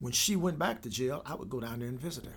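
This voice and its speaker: A man with an American accent speaks at a fairly quick pace. His lively intonation carries vocal fry. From US Midwest (Evansville, Indiana). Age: 70s. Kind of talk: testimony.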